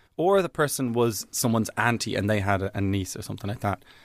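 In an Irish accent, a man with a fairly low pitch talks at a very fast pace on a very clean recording with a silent background. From Ireland, Dublin. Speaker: comedian. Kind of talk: casual chat.

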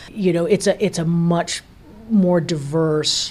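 A woman speaks at a fairly slow pace, her fairly low voice dark and mellow in tone. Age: 60s. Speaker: radio host. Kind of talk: interview.

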